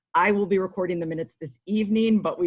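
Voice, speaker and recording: At a very fast pace, a woman talks in a fairly low pitch with ordinary pitch variation. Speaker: village council member and committee co-chair. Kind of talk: formal meeting introduction. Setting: video call.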